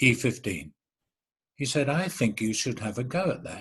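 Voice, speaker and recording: A somewhat breathy man of medium pitch with a Cockney accent speaks at a moderate pace with lively intonation. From London East End. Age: 70s. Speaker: actor. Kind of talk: interview.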